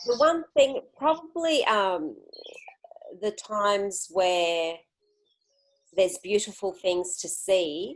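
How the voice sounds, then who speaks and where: With an Australian accent, a woman speaks very slowly at a medium pitch, making very wide pitch swings and long, frequent pauses. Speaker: interviewee, solo traveler. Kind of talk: interview.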